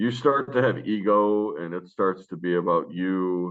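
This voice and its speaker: With an American accent, a man speaks at a very deep, low pitch with ordinary pitch variation. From US Northeast (Rochester, New York). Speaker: basketball coach. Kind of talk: interview.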